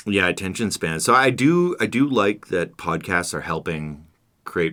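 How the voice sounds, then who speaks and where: A man's voice carries vocal fry and a bright, sharp tone. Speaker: podcast co-host. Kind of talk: casual chat. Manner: stutters sometimes, loses train of thought.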